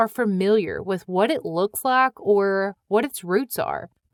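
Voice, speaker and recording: In a Midwestern US accent, a woman talks at a very slow pace with a fairly high pitch, captured on a very clean recording with a silent background and a dry, close sound with no echo. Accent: Midwestern accent, noticeable on 'oil'. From US Midwest. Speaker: podcast host. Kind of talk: scripted podcast narration.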